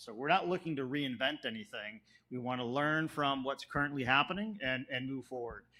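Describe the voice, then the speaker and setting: In a Chicago accent, a man talks with a fairly high-pitched voice. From US Midwest, South Chicago. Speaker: planning consultant. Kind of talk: public presentation. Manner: fast; animated.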